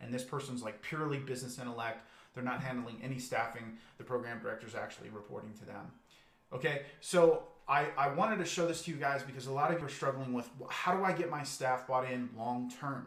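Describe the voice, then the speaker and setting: Audible room echo hangs around a man talking at a very fast pace. His pitch is medium and his intonation fairly even. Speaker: business coach. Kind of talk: live webinar presentation. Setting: livestream video.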